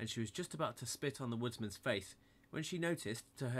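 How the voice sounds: This is a natural reading voice. It reads the words aloud.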